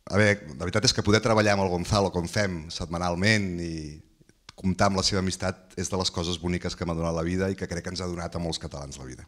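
Over a quiet background, a man talks at a very fast pace. His pitch is very deep and low. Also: fairly even intonation, big swings in loudness. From Catalonia. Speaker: audience member and legal collaborator; audience member. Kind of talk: audience Q&A remarks. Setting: hotel event with live audience. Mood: warm, anecdotal. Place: meeting room. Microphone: handheld.

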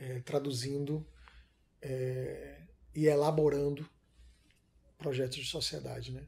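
Fairly slowly and with fairly even intonation, a man speaks in a somewhat breathy, fairly high voice. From Salvador, Bahia (Brazil); Bahia, Brazil. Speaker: filmmaker; interviewee. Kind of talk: interview; interview answer. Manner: hesitant, many fillers. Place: home room.

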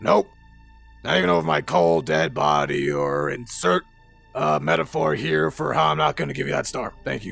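A man with a very deep, low voice speaks at a moderate pace over faint music in the background. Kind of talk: casual tough-guy roleplay acting. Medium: machinima. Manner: cocky, sarcastic, tough.

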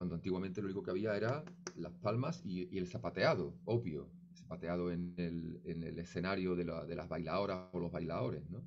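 A man talks at a fairly quick pace in a very deep, low pitch with ordinary pitch variation. Faint music sits in the background. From Seville, Andalusia, Spain; Andalusia, Spain. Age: 50s. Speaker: flamenco musician; interviewee. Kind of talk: interview. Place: home room. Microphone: studio mic.

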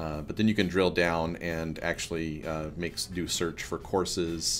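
Faint music plays behind a man with a very deep, low pitch. He keeps a moderate pace and fairly even intonation. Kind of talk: casual vlog chat. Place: office. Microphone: webcam.

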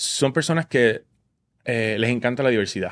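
The background stays quiet as a man talks at a moderate pace, his pitch varying in an ordinary way. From Puerto Rico, Vega Baja; Puerto Rico. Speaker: Broadway musical theatre actor. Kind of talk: casual interview chat. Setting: studio. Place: studio. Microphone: studio mic.

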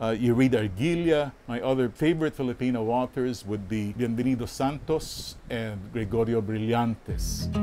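Speaking at a moderate pace, a man has a dark, mellow tone with ordinary pitch variation. Light background noise can be heard. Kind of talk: interview answer. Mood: calm, reflective, advising. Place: home room.

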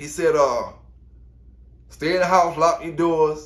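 The pace is moderate. The speaker is a man. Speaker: dog kennel owner commenting on news. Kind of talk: casual vlog commentary. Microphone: earbuds.

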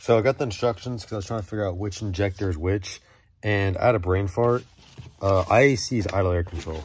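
Against light background noise, a man with a very deep, low voice speaks at a very fast pace. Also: dry sound with no echo. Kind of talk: casual vlog tutorial. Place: garage. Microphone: phone near.

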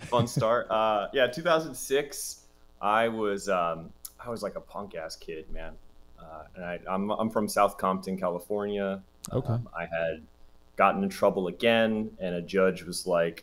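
This man speaks at a fairly slow pace. His pitch is fairly low, with ordinary variation. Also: big swings in loudness. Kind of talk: interview answer. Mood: laughing, candid storytelling. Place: home room.

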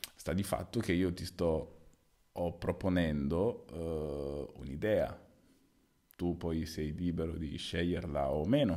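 A man speaks in a dark, mellow tone with a very deep, low pitch and ordinary pitch variation. His pace is very slow, with long, frequent pauses, against a quiet background. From Sicily, Italy. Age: 30s. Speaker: volleyball player. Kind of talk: solo casual monologue. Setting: at home at night. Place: home room. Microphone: new microphone, placed too close; studio mic.

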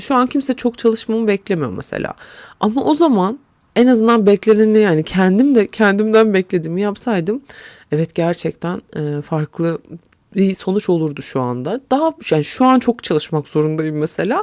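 Speaking at a moderate pace in an animated tone, a woman with a medium pitch swings her voice very widely, in a dry, close sound with no echo. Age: 30s. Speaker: podcast host. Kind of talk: solo monologue.

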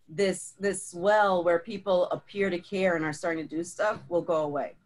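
With fairly even intonation, the delivery keeps a moderate pace. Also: woman, fairly low pitch for a woman. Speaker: community conversation host. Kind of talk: casual chat. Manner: loud. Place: home room. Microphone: video call.

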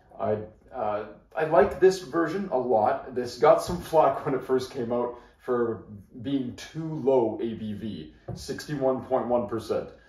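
A man at a medium pitch and a very slow pace, with audible room echo. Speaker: whiskey reviewer. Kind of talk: product review. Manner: casual, conversational. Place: home room. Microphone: camera far.

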